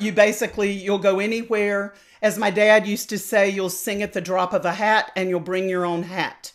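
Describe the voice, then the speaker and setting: The recording is very clean, with a silent background, as a woman speaks in a North Carolina accent at medium pitch. She keeps a moderate pace and fairly even intonation with hardly any pauses. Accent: Southern US (North Carolina). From US South. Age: 60s. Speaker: opera singer and voice teacher. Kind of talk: interview. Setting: podcast interview.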